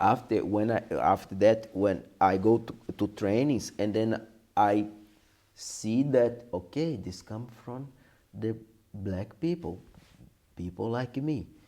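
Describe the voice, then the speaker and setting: With a Portuguese accent and a dark, mellow tone, a man at a medium pitch speaks at a very slow pace, using ordinary pitch variation and long, frequent pauses. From Brazil, Brasilia. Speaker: capoeira teacher. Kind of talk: interview. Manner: halting.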